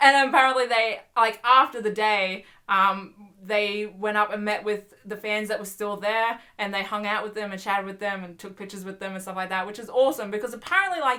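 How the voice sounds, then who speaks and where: A woman speaks in an animated tone at a fairly quick pace with a fairly high pitch. Her loudness swings widely, and there is noticeable background noise. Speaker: YouTuber. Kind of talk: casual vlog chat. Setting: home bedroom. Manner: fast.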